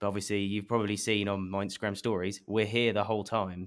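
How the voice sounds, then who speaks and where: In a very clean recording with a silent background, a man with an English accent speaks in a fairly low voice with fairly even intonation. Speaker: marketing head of a beauty company. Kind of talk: interview.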